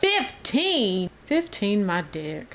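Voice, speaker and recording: A woman talks with a Southern US accent. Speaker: gaming youtuber. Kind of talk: gameplay commentary. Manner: animated.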